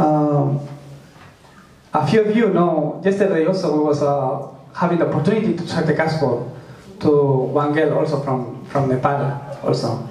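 A man's voice, with ordinary pitch variation, carries audible room echo. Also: fairly high pitch for a man, moderate pace. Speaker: preacher. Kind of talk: sermon. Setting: church. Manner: halting, with frequent fillers.

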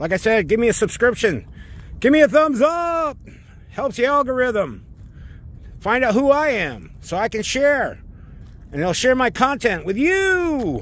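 With an extremely high pitch and very wide pitch swings, a man speaks at a fairly slow pace, pausing long and often, in a dry sound with no echo. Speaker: RC hobby vlogger. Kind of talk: casual vlog chat. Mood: upbeat, friendly. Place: open country. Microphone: phone near.

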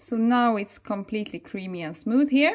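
A woman speaks with a Swedish accent. Her intonation is lively. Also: quiet background. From Sweden. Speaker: raw vegan chef and health therapist, video blogger; video blogger. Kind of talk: casual vlog narration. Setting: outdoors on a walk. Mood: warm, enthusiastic.

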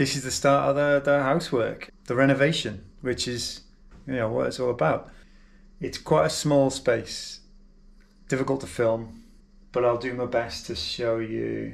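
The man speaks with fairly even intonation. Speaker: home renovation vlogger. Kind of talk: casual vlog chat. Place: kitchen. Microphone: phone near.

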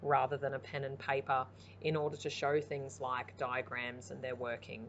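The voice has vocal fry and ordinary pitch variation at a moderate pace, with light background noise behind it. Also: woman. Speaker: primary school teacher. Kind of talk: explanatory presentation. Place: home room.

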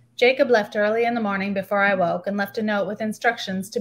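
There is ordinary pitch variation in this woman's somewhat breathy speech. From Canada, northern Ontario, military bases. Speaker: novelist. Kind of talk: reading aloud. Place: home room. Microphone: webcam.

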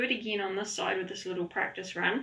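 A woman speaks in a calm, gentle tone. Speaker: yoga instructor. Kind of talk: online yoga class, guided instruction. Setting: online video class, at home. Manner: calm, gentle, encouraging, unhurried; warm, chatty, light humor. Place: home room. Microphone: camera far.

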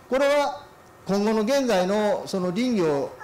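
A man speaks in a nervous tone with light background noise. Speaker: forestry company vice president, keynote speaker; keynote speaker. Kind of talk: keynote lecture. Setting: symposium hall. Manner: nervous at start. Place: hall. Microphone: handheld.

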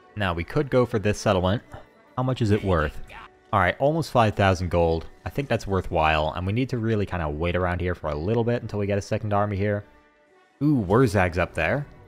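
Music plays in the background as a man talks at a very fast pace. His pitch is fairly low and his intonation lively. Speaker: gaming YouTuber. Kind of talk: casual gameplay commentary.

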